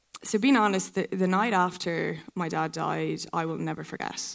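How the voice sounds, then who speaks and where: Fairly low-pitched woman's voice in an Irish accent at a moderate pace. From County Kildare, Ireland. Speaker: pageant contestant. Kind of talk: live stage interview.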